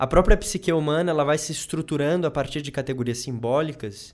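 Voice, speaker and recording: Over a silent background in a very clean recording, a man with an unremarkable speaking voice talks at a fairly quick pace with ordinary pitch variation. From southern Brazil, Rio Grande do Sul. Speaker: psychologist, doctoral researcher. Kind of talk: casual interview chat.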